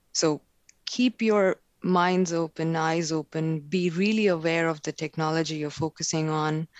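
A woman speaks fairly slowly with an Indian accent. Her pitch is fairly low and her intonation fairly even. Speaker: technical marketing manager. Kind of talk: casual interview chat.

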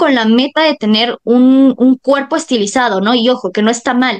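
A woman in a Mexican accent, high in pitch, at a moderate pace against a quiet background. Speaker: podcast host. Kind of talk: interview.

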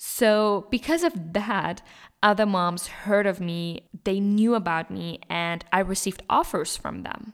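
A woman with a German accent speaks at a fairly slow pace in a medium pitch, her tone animated and her pitch varying in an ordinary way. The recording is very clean, with a silent background. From Germany. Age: 20s. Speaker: business podcast host, entrepreneur. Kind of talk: motivational solo monologue.

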